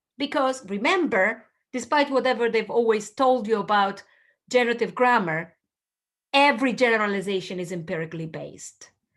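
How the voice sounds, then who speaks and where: Here a woman speaks in an animated tone. Her pitch is fairly high. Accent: Italian. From Southern Italy. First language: Italian. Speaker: linguistics professor. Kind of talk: lecture.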